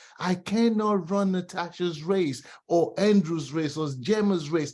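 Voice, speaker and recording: With an animated tone and high pitch, a man talks at a fairly slow pace and ordinary pitch variation. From Nigeria and Britain. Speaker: real estate team member. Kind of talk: team video call pep talk.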